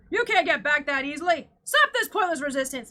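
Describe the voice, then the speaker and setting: A woman speaks in a put-on character voice, pitched high. Her intonation is lively. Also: fairly quick pace. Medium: read story. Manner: barking orders.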